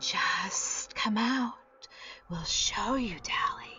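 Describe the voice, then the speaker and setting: A woman's whispered put-on character voice at a very slow pace, over clear background music. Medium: read story. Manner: insidious, coaxing.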